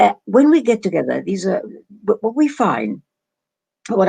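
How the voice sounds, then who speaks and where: The voice, with an English accent, sounds dry and close with no echo. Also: woman. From England. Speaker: doctor and Middle East scholar. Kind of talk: interview. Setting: video call. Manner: halting.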